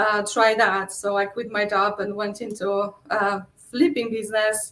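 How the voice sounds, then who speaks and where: Fairly slow, fairly even speech from a woman at medium pitch. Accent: Polish. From Poland. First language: Polish. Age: 40s. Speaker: real estate investor. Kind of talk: interview. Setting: livestream.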